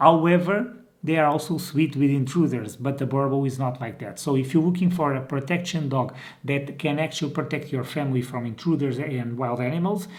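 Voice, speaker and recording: Somewhat breathy man with a Portuguese accent, at a fairly quick pace with ordinary pitch variation, amid audible room echo. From Portugal. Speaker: dog breeder and trainer. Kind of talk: informal video tutorial. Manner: hesitant, with many fillers and restarts.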